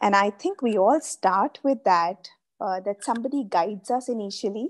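Over a quiet background, a woman with an Indian accent talks at a fairly slow pace. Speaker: life coach. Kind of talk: interview. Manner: hesitant, many filler sounds. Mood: calm, reflective, thankful. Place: home room. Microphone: video call.

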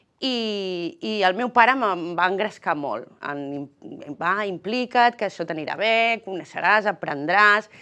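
A woman speaks very slowly with a bright, sharp tone. Her intonation is lively. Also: quiet background. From Catalonia. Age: 40s. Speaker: politician. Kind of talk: political interview. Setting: TV studio. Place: studio. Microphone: lapel.

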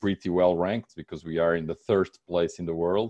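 Against a quiet background, a man with a Portuguese accent speaks at a very deep, low pitch, the sound dry with no echo. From Portugal. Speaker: real estate agent; presenter. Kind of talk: webinar presentation. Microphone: webcam.

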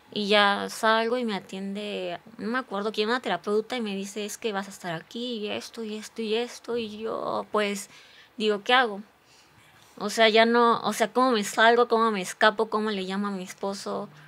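The speaker is a woman with a fairly high pitch. She holds a monotone, flat intonation. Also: moderate pace. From Morelos, Mexico. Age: 30s. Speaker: physician and social media creator; podcast guest. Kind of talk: testimony. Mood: earnest, reflective storytelling. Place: studio. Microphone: studio mic.

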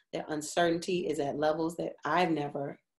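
A woman talks at a fairly slow pace with fairly even intonation. The background is quiet. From Chicago, South Side. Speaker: actress and vocalist. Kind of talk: interview answer. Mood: reflective, earnest, sometimes excited. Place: home room. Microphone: webcam.

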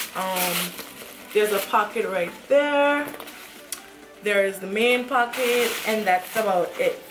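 Speaking at a very slow pace, a woman uses a fairly high pitch with ordinary pitch variation. She leaves long, frequent pauses while music plays in the background. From Anguilla. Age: young. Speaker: vlogger. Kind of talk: casual talk to camera. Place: home room. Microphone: camera far.

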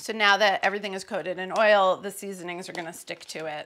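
Raspy and very fast, a woman does a put-on character voice at a medium pitch with monotone, flat intonation. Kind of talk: cooking tutorial.

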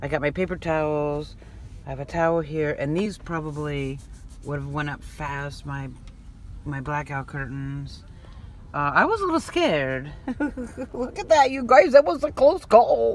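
A woman speaks at a moderate pace, pausing often and at length. The sound is dry with no echo, over light background noise. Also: big swings in loudness. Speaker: van life vlogger. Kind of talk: casual vlog chat. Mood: animated, recounting a scare. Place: car. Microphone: phone near.

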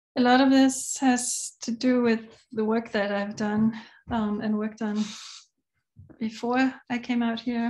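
With long, frequent pauses, a woman talks at a fairly slow pace in a fairly high pitch, her intonation monotone and flat. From Denmark. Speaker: multimedia artist. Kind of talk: artist talk presentation. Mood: calm, reflective. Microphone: video call.

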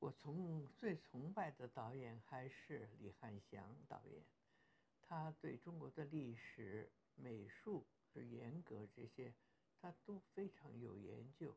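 A woman speaks in a very deep, low voice with a dark, mellow tone and vocal fry, her pitch swinging very widely. She talks at a very slow pace over light background noise. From Beijing, China. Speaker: actress. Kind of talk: interview answer. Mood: warm, smiling, reflective.

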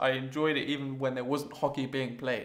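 A man speaks with an English accent. The background is quiet. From England. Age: 20s. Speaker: vlogger. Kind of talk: casual vlog monologue. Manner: hesitant, many fillers. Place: home room.

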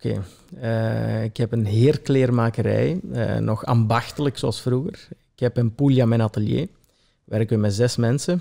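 This man's voice has a dark, mellow tone at a medium pitch. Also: ordinary pitch variation, moderate pace. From Belgian Limburg, Italian family. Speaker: tailor. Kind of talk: casual interview.

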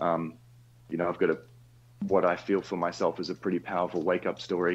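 Here a man talks with an Australian accent at a very deep, low pitch. His pace is fairly quick and his intonation fairly even. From Western Australia. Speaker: caller. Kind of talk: casual chat.

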